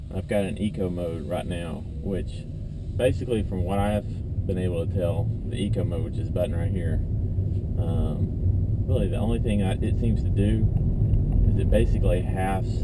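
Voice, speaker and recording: Loud background noise accompanies a man speaking at a moderate pace. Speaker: car owner reviewing his car. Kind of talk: casual review while driving. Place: car. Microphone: camera far.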